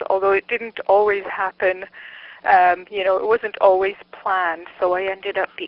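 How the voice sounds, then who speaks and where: At a moderate pace, a woman speaks at medium pitch in a monotone, flat intonation. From Montreal, Quebec, Canada. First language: Czech. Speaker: psychology researcher and lecturer. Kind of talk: interview. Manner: halting, many fillers.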